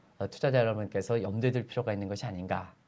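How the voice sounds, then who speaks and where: A man talks with ordinary pitch variation. His tone is dark and mellow. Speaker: economic analyst. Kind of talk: interview.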